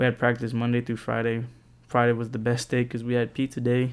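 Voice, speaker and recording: In a very clean recording with a silent background, a man with an American accent speaks at a fairly quick pace and medium pitch. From San Antonio, Texas. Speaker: podcast host, college student. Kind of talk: casual personal monologue. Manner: casual, filler-heavy.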